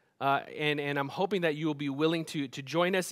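Over a quiet background, a man talks at a fairly quick pace. His intonation stays fairly even. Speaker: church pastor. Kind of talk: church announcements before a sermon. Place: stage.

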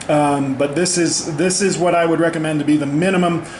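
Moderate-paced speech from a man, amid light background noise and audible room echo. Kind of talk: tutorial. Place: garage. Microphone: phone near.

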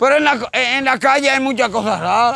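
A man projects a raised voice at an extremely high pitch with a bright, sharp tone. His pace is moderate. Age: 50s. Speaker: street interviewee, odd-job worker. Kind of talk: street interview.

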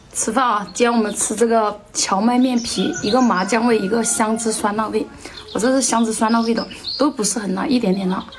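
Over noticeable background noise, a woman speaks fairly quickly with a fairly high pitch and fairly even intonation. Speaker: mukbang vlogger. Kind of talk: casual eating vlog talk. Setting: at home.

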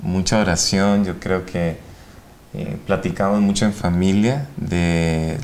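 At a fairly slow pace, a man speaks in a very deep, low pitch with ordinary pitch variation. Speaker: ophthalmologist and medical professor; medical professor. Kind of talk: interview. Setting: studio. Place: studio. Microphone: lapel.

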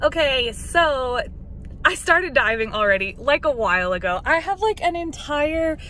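Raised and projected, the voice makes very wide pitch swings, the sound dry with no echo over light background noise. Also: woman. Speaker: vlogger. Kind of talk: casual vlog chat. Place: car. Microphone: phone near.

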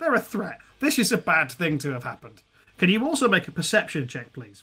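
A man talks at a fairly quick pace in a bright, sharp tone with a slightly husky edge. His pitch is high and makes big swings.

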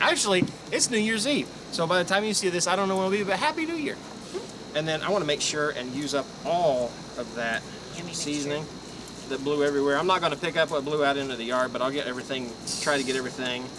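Speaking at a very fast pace with ordinary pitch variation, a man is heard through noticeable background noise. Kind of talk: cooking tutorial. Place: garden. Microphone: camera far.

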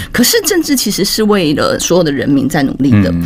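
A woman's fairly low voice at a fairly quick pace. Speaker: guest. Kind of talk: interview answer. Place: studio. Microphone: studio mic.

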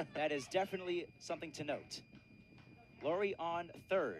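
A man with a high-pitched voice speaks at a moderate pace in an excited, energetic tone over noticeable background noise. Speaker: play-by-play baseball radio announcer. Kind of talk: live baseball play-by-play radio call.

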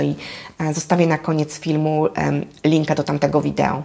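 A woman's very deep, low pitch with vocal fry, a dark, mellow tone, and fairly even intonation. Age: 40s. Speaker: life coach. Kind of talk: vlog monologue. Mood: warm, encouraging. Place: home room. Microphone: lapel.

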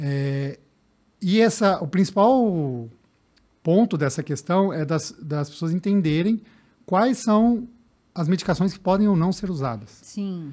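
Against a quiet background, a man with a high pitch and a dark, mellow tone speaks at a very slow pace with lively intonation and long, frequent pauses. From interior of São Paulo state, Brazil. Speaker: sports physician and triathlete; guest. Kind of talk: podcast interview. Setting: studio. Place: studio. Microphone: studio mic.

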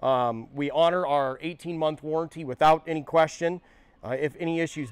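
Against a quiet background, a man speaks at a moderate pace with ordinary pitch variation, the sound dry with no echo. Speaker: performance car parts technician. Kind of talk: product tutorial. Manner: casual, uses filler ums. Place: workshop.

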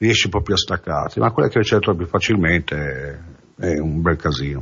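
A man with lively intonation. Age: 50s. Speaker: recovering addict giving testimony. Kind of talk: testimony. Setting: radio studio. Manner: halting.

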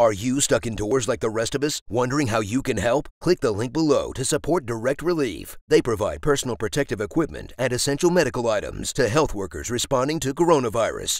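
In an ordinary speaking voice of medium pitch, a man talks at a fairly quick pace with lively intonation and hardly any pauses, recorded very clean with a silent background and a dry, close sound with no echo. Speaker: voice-over narrator. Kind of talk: charity appeal read.

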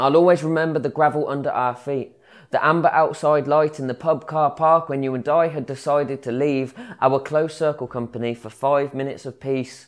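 A man's fairly high pitch at a fairly quick pace, with fairly even intonation and a quiet background. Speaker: spoken word poet. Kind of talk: spoken word poetry performance. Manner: rhythmic, rhyming delivery with storytelling flow; wry, conversational, mock-casual tone with crude humour. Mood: reflective, intimate. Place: workshop. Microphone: lapel.

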